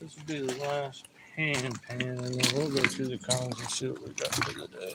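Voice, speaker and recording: A man with a Southern US accent mumbles at a moderate pace and a medium pitch, his intonation fairly even. His loudness swings widely, and noticeable background noise is present. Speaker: gold prospector. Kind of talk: live stream commentary. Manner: mumbling to himself.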